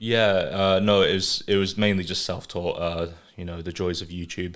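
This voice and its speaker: In an English accent, a man with a very deep, low pitch speaks at a moderate pace in a monotone, flat intonation. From England, moved to north-east Scotland at age five. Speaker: artist and animator. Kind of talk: casual chat.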